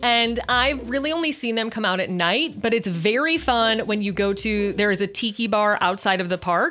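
A woman with an American accent talks in a fairly high pitch with lively intonation and hardly any pauses. Noticeable background noise can be heard. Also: moderate pace. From Chicago, US Midwest. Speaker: Disney podcaster and writer. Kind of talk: casual chat. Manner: animated.

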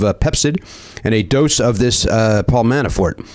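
A man's medium-pitched voice with an American accent, fairly quick delivery, ordinary pitch variation and noticeable background noise. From Chicago. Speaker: comedy podcast host. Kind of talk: casual chat. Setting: studio.

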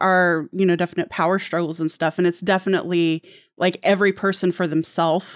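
A woman speaks in a plain, everyday voice, fairly low-pitched with ordinary pitch variation. The sound is dry and close, with no echo. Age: 40s. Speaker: book podcast panelist. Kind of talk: casual chat.

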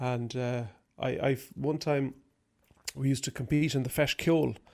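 Speaking at a moderate pace with a medium pitch, a man with an Irish accent keeps his intonation fairly even. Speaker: banjo player and music teacher. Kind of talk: interview.

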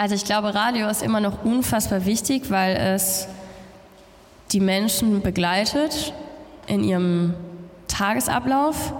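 Audible room echo surrounds a woman speaking fairly slowly at a very even loudness. Her pitch varies in an ordinary way, and she pauses long and often. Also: medium pitch for a woman. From Germany. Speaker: radio presenter. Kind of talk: interview on stage. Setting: stage with audience.

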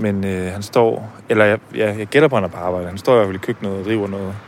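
A man with a fairly low pitch keeps his intonation fairly even while noticeable background noise sounds behind him. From Denmark, Herning (Jutland). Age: 20s. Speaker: podcast host. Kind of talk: personal documentary narration. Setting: café.

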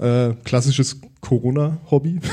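Speaking at a very slow pace, a man with a medium pitch and a dark, mellow, somewhat breathy tone keeps his intonation fairly even. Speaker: podcaster. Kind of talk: live podcast conversation. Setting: stage with audience.

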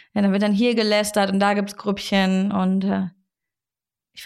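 The woman's voice comes through on a very clean recording against a silent background. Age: 20s. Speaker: actress and podcast host. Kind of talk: casual chat. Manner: animated.

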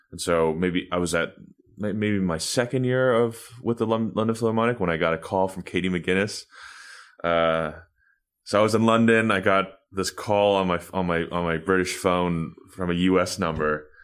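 A man with an American accent has a very deep, low voice, captured in a very clean recording with a silent background. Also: ordinary pitch variation, moderate pace. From New York City (Washington Heights). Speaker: violinist, orchestra concertmaster. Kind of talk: interview. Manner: halting, many repetitions and fillers.

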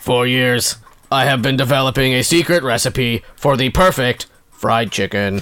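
A man's robotic, put-on character voice at medium pitch and a moderate pace

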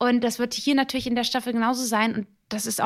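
In a very clean recording with a silent background, a woman with a fairly high pitch speaks at a very fast pace. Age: 30s. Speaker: actress and TV presenter. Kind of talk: casual interview. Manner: animated.

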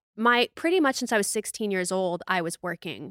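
A woman talks at a fairly quick pace with an American accent, her tone animated, bright and sharp. The recording is very clean, with a silent background. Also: dry, close sound with no echo. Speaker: fitness influencer and podcast host. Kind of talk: casual chat.

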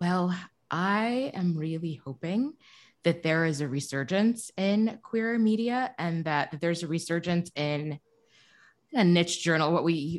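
An unremarkable speaking voice from a woman with an American accent, fairly low in pitch, with lively intonation at a fairly slow pace, in a very clean recording with a silent background. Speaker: newspaper co-publisher and editor. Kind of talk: interview.

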